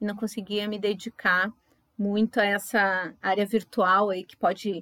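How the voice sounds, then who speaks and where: On a very clean recording with a silent background and a dry, close sound with no echo, a woman speaks with monotone, flat intonation. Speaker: pharmacist and floral therapist, podcast co-host. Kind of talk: casual podcast chat.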